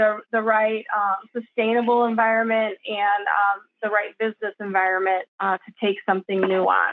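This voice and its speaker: With an unremarkable speaking voice, a woman talks at a moderate pace at a fairly high pitch with fairly even intonation. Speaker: roofing sustainability consultant. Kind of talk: presentation. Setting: video call.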